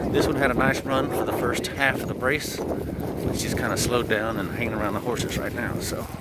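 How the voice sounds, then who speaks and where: Amid loud background noise, a man speaks at a fairly slow pace with a dry sound and no echo. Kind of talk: casual commentary. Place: open country. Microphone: phone near.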